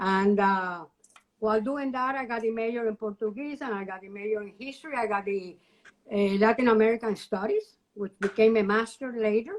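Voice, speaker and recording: Talking at a fairly quick clip, a woman with a Cuban accent uses a fairly high pitch and big swings in loudness. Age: 70s. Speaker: retired educator and university alumna. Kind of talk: interview. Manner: animated.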